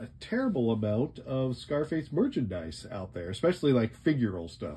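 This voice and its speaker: A man speaks with a dark, mellow tone and a somewhat breathy quality. His pitch swings very widely. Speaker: toy reviewer. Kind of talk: product review commentary. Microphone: phone near.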